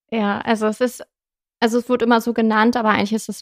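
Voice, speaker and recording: Heard in a dry, close sound with no echo, a woman speaks at a fairly high pitch with monotone, flat intonation. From northern Germany, Friesland. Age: 30s. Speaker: climate activist and fashion designer. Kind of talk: casual interview. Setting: studio.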